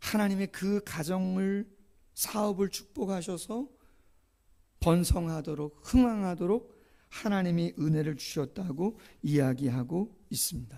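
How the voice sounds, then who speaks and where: Though high-pitched, this man's voice has a dark, mellow tone, and he speaks very slowly with lively intonation. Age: 50s. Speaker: pastor. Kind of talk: sermon. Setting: church.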